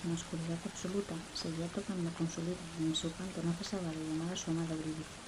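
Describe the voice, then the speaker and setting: A woman talking very fast with hardly any pauses, in a monotone, flat intonation, amid audible room echo and noticeable background noise. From Spain, Asturias. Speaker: ASMR creator. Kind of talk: reading aloud. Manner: whispering.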